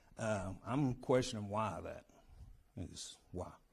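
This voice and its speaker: Audible room echo surrounds a man whose medium-pitched voice has a dark, mellow tone. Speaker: county coroner. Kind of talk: public address to council. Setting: county government meeting. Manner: loud.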